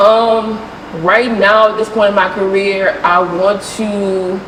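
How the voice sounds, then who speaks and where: There is noticeable background noise and audible room echo. A woman speaks at a medium pitch with a slight New Orleans accent. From New Orleans, Louisiana. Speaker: sports photographer. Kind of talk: interview conversation. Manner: casual, many fillers.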